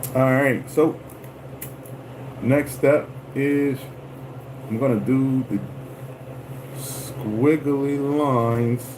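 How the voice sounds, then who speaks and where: Against noticeable background noise, a man speaks very slowly in a monotone, flat voice with long, frequent pauses. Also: medium pitch for a man. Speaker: lure painter livestreamer. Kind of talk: livestream craft tutorial. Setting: livestream.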